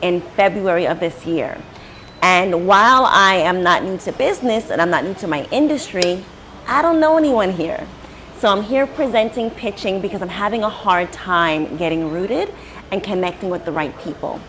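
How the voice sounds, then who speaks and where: A woman talks with lively intonation while noticeable background noise plays behind her. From US Northeast. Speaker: business owner presenting. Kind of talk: business pitch presentation. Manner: fast.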